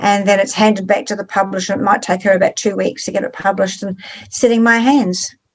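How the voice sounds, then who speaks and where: A woman with a New Zealand accent talks very fast at a medium pitch. Her intonation stays fairly even. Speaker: author. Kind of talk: interview.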